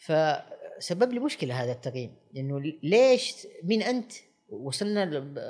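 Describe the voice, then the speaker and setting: A man speaks with a high pitch and very wide pitch swings. His pace is fairly slow. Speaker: restaurant critic. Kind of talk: interview. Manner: halting.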